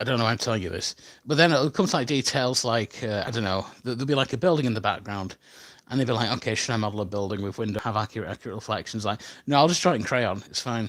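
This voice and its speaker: Speaking at a very fast pace, a man with a medium-pitched voice and ordinary pitch variation comes through on a very clean recording with a silent background. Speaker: animator and YouTuber. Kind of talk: casual live stream chat. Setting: hotel room live stream. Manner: halting, many fillers.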